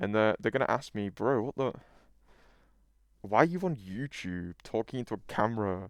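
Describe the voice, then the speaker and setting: A man speaks with a British accent and ordinary pitch variation. The sound is dry and close with no echo, on a very clean recording with a silent background. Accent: British, noticeable. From UK. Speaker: YouTuber. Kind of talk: casual monologue. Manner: animated.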